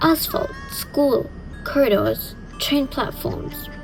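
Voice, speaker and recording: The speaker is a woman. Background music accompanies her voice. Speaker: horror storyteller. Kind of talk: horror storytelling narration. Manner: atmospheric, slow, dramatic with dry humor.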